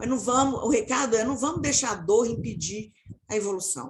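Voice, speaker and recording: A woman talks with vocal fry. Her intonation is lively. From Minas Gerais, Brazil. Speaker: marketing professional turned people/diversity specialist. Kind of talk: panel discussion closing remarks.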